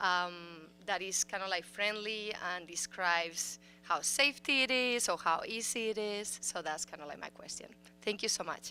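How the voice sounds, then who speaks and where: The speaker has a Spanish accent and talks at a moderate pace. Pitch varies in an ordinary way. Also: woman, medium pitch for a woman. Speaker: school board member. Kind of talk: audience question at public forum. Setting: city council chambers forum.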